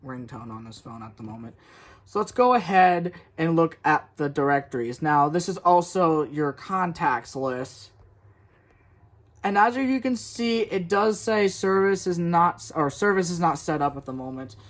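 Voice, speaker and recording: This man's fairly high voice makes very wide pitch swings and big swings in loudness. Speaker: tech reviewer. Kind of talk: tutorial. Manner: fast; halting.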